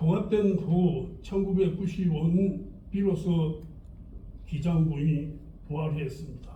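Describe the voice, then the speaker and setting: Audible room echo surrounds a man speaking at a high pitch with a dark, mellow tone. He goes at a very slow pace with fairly even intonation. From Gijang, Busan, South Korea. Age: 80s+. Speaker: local historian. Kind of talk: lecture.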